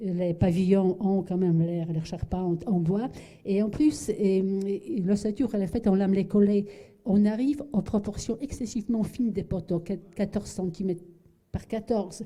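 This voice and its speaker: A woman's somewhat breathy, dark and mellow voice, medium in pitch, with ordinary pitch variation and a moderate pace. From Poland. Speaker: architect. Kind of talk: lecture. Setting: lecture hall with audience. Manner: halting, many fillers and repetitions.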